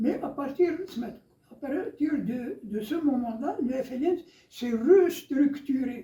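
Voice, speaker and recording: This man's voice sits at an extremely high pitch, with a dark, mellow tone. He talks at a very slow pace. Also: ordinary pitch variation. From Algeria, Biskra region. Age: 80s+. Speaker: Algerian war veteran, former FLN militant. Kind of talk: interview answer.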